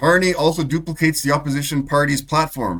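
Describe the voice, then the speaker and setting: A man with a Canadian accent speaks at a moderate pace in a fairly high voice with vocal fry and ordinary pitch variation. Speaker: political and health commentary channel host. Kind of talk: opinion commentary over clips.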